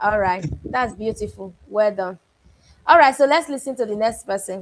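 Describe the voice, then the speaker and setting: With a Nigerian accent, a woman talks at a moderate pace in a fairly high pitch with lively intonation. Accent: Benin (Nigerian). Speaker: book club coach. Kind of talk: online class feedback.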